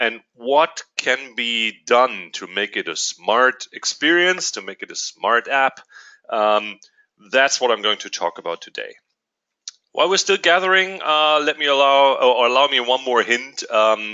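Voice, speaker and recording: Speaking with a German accent, a man talks at a fairly slow pace in a medium pitch. His intonation is lively, with big swings in loudness. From Germany. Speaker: company executive. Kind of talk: webinar presentation. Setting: online webinar. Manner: hesitant, many fillers.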